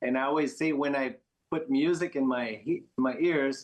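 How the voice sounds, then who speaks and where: A man's fairly high voice with a French Canadian accent. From Quebec, Montreal. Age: 50s. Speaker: professional pickleball player. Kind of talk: casual chat.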